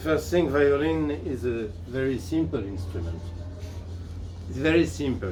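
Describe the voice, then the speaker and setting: A man with a fairly low pitch talks at a fairly slow pace with very wide pitch swings and long, frequent pauses, with audible room echo and music playing in the background. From France. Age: 60s. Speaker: violin teacher. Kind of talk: interview. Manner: halting.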